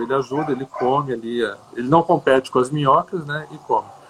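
A man talks at a fairly high pitch. There is noticeable background noise. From Brazil, Brasília. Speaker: composting educator. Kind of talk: interview.

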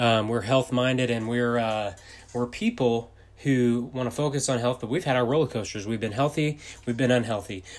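The speaker is a man with a Texan accent. His medium pitch carries fairly even intonation. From Texas. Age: 30s. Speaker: entrepreneur and podcaster. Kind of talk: casual monologue. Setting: home office. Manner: fast.

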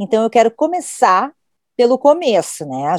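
In a dry, close sound with no echo, a woman speaks at a fairly slow pace. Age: 50s. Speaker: podcast host, journalist. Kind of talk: casual chat.

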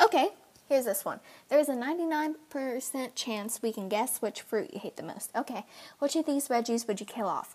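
Here a woman is talking. Her high voice has lively intonation. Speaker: vlogger. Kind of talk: casual chat. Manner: fast.

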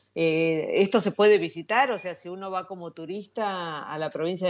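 A woman speaks with an Argentine accent. Her pitch is fairly low and her pace moderate. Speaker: radio host. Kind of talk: interview.

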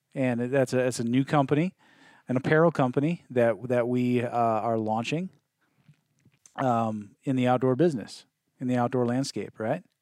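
On a very clean recording with a silent background, a man with an American accent talks at a fairly slow pace, with medium pitch and ordinary pitch variation. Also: dry, close sound with no echo. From US Midwest. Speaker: podcast host and outdoor clothing company co-founder. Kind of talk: casual chat. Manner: halting, many fillers and repetitions.

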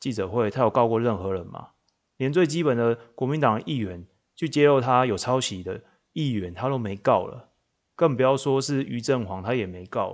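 Against a quiet background, a man talks at a moderate pace and medium pitch. His intonation is lively, with big swings in loudness. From Taiwan, Changhua. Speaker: podcast host. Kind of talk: solo political commentary. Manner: animated.

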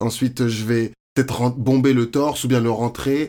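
A man with a normal speaking voice, medium in pitch, with fairly even intonation. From France, Paris area (Courbevoie). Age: 20s. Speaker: fashion model and university student. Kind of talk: interview, casual chat.

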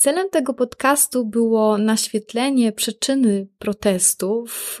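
A woman talks at a very slow pace, with hardly any pauses and very even loudness. The sound is dry and close, with no echo. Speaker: podcast host. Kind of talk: scripted podcast intro.

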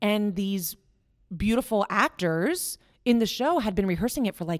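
A woman talks at a moderate pace with a fairly high pitch. The sound is dry and close, with no echo. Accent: American. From West Virginia. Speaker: actor and acting professor. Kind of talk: casual chat.

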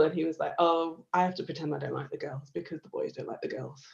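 Very fast pace from a female speaker. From northern England. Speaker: lawyer and political activist. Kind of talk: casual interview chat.

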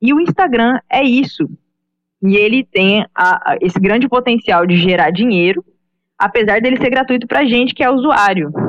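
Her loudness stays very even while this woman's fairly high pitch makes very wide swings at a moderate pace. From Brazil, Goiânia (Goiás). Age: 20s. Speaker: digital marketing professional. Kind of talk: casual podcast discussion.

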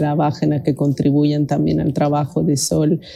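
Her tone comes across as dark and mellow. This woman talks fairly slowly. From Mexico. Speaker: researcher and radio presenter. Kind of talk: interview.

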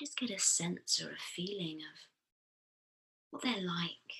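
A woman speaks very slowly in a soothing tone. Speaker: therapist and podcast host. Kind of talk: guided meditation. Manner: slow, soothing.

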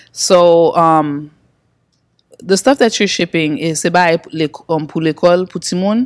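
Speaking at a fairly slow pace, a woman with a fairly low voice shows ordinary pitch variation and big swings in loudness. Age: 20s. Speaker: web show host. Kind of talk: casual interview.

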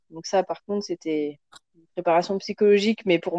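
A woman speaks at a medium pitch with a dark, mellow tone. Her pace is moderate, her intonation fairly even, and the sound is dry and close with no echo. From France. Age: 30s. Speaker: mother, podcast guest. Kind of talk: casual chat.

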